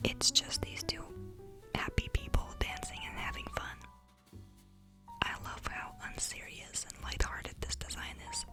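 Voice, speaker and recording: A woman whispering at a moderate pace, music in the background. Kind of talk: ASMR tattoo show and tell, whispered talk to camera. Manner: whispered, soft, intimate.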